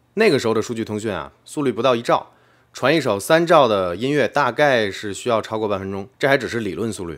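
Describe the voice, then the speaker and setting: At a fairly quick pace, a man speaks in an unremarkable speaking voice with a medium pitch. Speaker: tech video creator. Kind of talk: explainer video narration. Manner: casual with frequent fillers.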